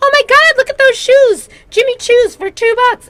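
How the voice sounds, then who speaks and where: A woman puts on a character voice at an extremely high pitch, talking at a moderate pace. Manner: excited, gushing.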